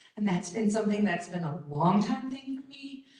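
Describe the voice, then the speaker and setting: An American accent with very wide pitch swings and audible room echo. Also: woman. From Baltimore, US Mid-Atlantic. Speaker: conference presenter, college staff member. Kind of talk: conference presentation. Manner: casual, with many fillers.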